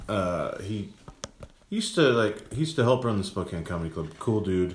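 A man talks at a moderate pace with lively intonation and a fairly low pitch. Noticeable background noise runs behind him. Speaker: comedian. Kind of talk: casual chat.

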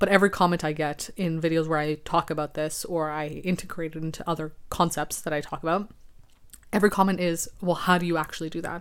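A woman's raspy, low-pitched voice at a fast pace with fairly even intonation

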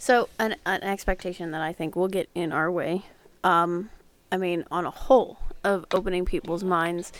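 With fairly even intonation at a moderate pace, the speaker has a plain, everyday voice. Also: woman, medium pitch for a woman. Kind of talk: casual chat, playful radio-style patter.

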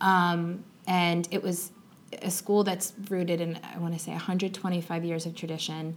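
A woman's fairly low, monotone voice with an American accent, fairly slow and flat, with audible room echo. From Long Island, New York. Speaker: teacher. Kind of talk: interview conversation. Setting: classroom.

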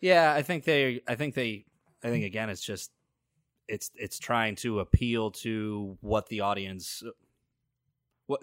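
A man with an American accent and an ordinary speaking voice talks at a fairly low pitch and moderate pace with ordinary pitch variation, the sound dry and close with no echo on a very clean recording against a silent background. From New Milford, Connecticut. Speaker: wrestling podcast co-host. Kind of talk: casual chat.

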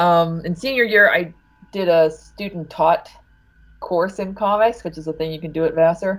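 A plain, everyday voice from a woman, fairly low in pitch with ordinary pitch variation, at a moderate pace with big swings in loudness. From Ohio. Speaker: comics writer and editor. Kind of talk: interview.

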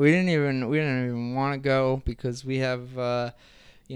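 A man of medium pitch with an American accent at a moderate pace, in a very clean recording with a silent background. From New Jersey. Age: 30s. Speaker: podcast co-host. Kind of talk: casual chat.

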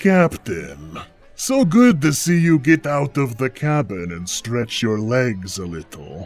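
Putting on a character voice, a man speaks at medium pitch and a fairly slow pace, his pitch swinging very widely. His tone is smug, and faint music sits in the background. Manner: smug, sardonic, wheedling.

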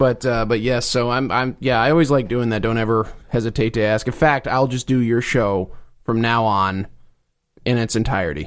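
A man with an American accent and an unremarkable speaking voice talks at a moderate pace, medium in pitch with ordinary variation. The recording is very clean, the background silent. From New Jersey. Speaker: podcaster. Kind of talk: casual chat. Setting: studio.

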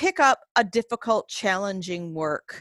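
A woman with an American accent speaks at a medium pitch in a bright, sharp tone, on a very clean recording with a silent background and a dry, close sound with no echo. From US Northeast, Maine. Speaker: English professor and author. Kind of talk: interview conversation.

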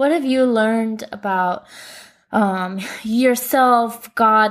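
A woman speaks with an American accent at a fairly high pitch. Her pace is very slow and her intonation fairly even. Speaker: missionary podcast host. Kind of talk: casual interview chat.

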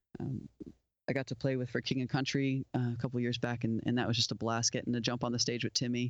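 A man with an American accent speaks very fast in a flat monotone, the sound dry and close with no echo. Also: medium pitch for a man. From South Florida, US. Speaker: musician and studio owner. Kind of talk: casual interview. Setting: video call.

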